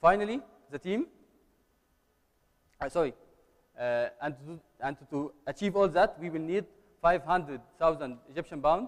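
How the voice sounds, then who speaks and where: Pitched high for a man, this male speaker moves at a moderate pace with ordinary pitch variation and long, frequent pauses. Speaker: startup founder. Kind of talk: pitch presentation and Q&A. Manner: halting.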